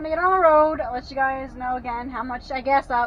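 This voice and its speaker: Noticeable background noise is present. The speaking pace is moderate, with ordinary pitch variation. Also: woman. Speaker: RV delivery driver and vlogger. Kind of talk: casual vlog monologue while driving. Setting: in a vehicle on the road. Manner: loud; hesitant, many fillers.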